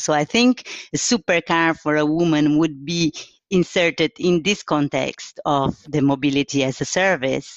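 A woman with a Portuguese accent speaks at a moderate pace in a very deep, low pitch with ordinary pitch variation. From Brazil, São Paulo. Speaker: car designer. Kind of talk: interview. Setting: at home.

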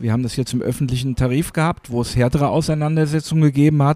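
This man has a fairly high pitch and a dark, mellow tone with ordinary pitch variation. The sound is dry and close, with no echo. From Hesse, Germany. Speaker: works council chairman. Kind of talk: interview. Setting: café.

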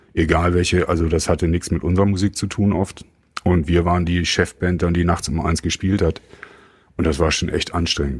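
Here a man speaks with a very deep, low pitch and monotone, flat intonation. His pace is moderate and his loudness very even. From Germany. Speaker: rock musician. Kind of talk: casual chat. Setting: studio.

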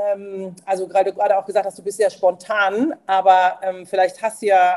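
At a moderate pace, the speech carries a dark, mellow tone. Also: woman. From Mosel region, Germany. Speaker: former civil servant, aspiring founder. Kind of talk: casual interview chat. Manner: hesitant, many fillers.

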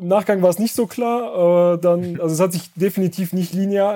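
Ordinary pitch variation at a moderate pace. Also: man. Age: 30s. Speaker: entrepreneur and online seller. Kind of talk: casual interview.

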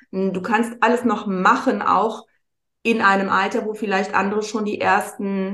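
A woman with a medium-pitched voice speaks at a fairly slow pace, with audible echo from the room. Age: 50s. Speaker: wellbeing mentor, former model. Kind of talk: casual chat.

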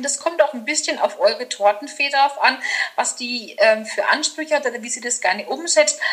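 A woman with a high pitch uses a raised, projected voice at a fairly quick pace, with ordinary pitch variation, big swings in loudness and noticeable background noise. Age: 40s. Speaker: master florist and decorator. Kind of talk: casual interview chat.

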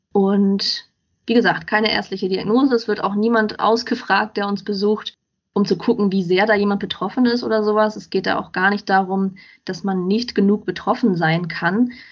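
Here is a woman with an unremarkable speaking voice at medium pitch. She keeps a moderate pace and fairly even intonation. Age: 20s. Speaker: self-help group member and blogger. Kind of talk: casual interview chat.

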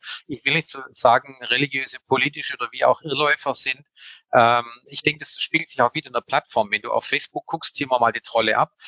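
This man speaks with a Swabian accent. His pace is very fast. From Swabia, southwestern Germany. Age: 50s. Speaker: public relations head. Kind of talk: panel discussion. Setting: live conference.

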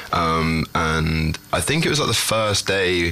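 A man with a London accent has a very deep, low voice and fairly even intonation. Background noise is noticeable. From London, England. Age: 20s. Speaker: singer-songwriter. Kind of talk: interview. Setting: studio. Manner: hesitant, filler-heavy.

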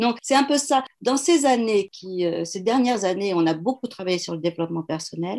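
A woman's unremarkable speaking voice at medium pitch, moderate in pace, with lively intonation. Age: 60s. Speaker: HR consultant and coach. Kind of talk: interview.

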